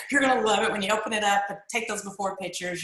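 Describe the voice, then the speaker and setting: Talking very fast with a Kentucky accent and ordinary pitch variation, a woman is heard over noticeable background noise and audible room echo. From eastern Kentucky. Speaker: network marketer. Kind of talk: testimony. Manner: animated.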